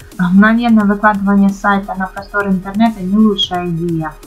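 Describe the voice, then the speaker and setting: Music plays in the background as a woman speaks. Her pace is moderate and her intonation monotone and flat. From Ukraine. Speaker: blogger. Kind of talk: tutorial voice-over. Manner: casual, with hesitations.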